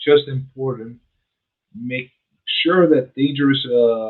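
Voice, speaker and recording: Here is an ordinary speaking voice: a man of medium pitch. He keeps a moderate pace with ordinary pitch variation. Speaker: real estate agent and radio show host. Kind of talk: reading a news item aloud.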